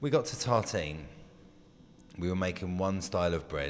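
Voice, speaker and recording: A man with an English accent speaks in a very deep, low voice. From England. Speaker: baker. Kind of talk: interview.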